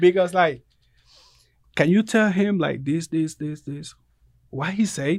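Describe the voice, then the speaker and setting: A man with a Puerto Rican accent speaks at a fairly slow pace, pitched high for a man. His pitch varies in an ordinary way, with long, frequent pauses. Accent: Puerto Rican Spanish accent, limited English. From Puerto Rico. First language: Spanish. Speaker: barber. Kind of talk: casual interview.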